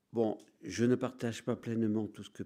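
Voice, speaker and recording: A man with a dark, mellow tone speaks fairly slowly on a very clean recording with a silent background. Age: 60s. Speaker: priest. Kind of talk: lecture. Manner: halting.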